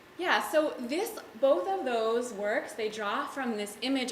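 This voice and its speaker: A woman with an American accent talks at a fairly slow pace with ordinary pitch variation, amid noticeable background noise and audible room echo. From mostly US, early childhood in Jerusalem. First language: Hebrew. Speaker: artist and educator. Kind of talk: panel talk. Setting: gallery with audience. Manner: casual, with fillers.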